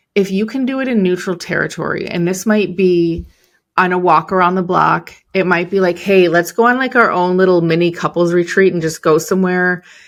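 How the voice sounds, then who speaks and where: On a very clean recording with a silent background, a woman with a Chicago accent talks at a fairly quick pace, her medium pitch showing ordinary pitch variation. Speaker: entrepreneur and business coach. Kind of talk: podcast interview.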